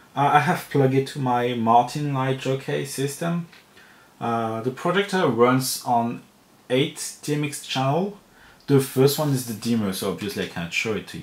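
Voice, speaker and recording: With a French accent, a man speaks at a moderate pace in a medium pitch with ordinary pitch variation. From France. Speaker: lighting equipment reviewer. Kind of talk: product review talk to camera.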